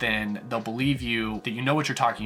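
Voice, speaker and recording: A man's fairly quick speech with ordinary pitch variation, music playing in the background. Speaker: book reviewer. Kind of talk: casual talk to camera.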